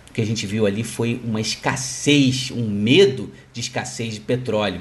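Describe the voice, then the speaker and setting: Speaking at a fairly slow pace, a man sounds somewhat breathy. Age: 40s. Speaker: financial market analyst. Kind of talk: solo market commentary podcast.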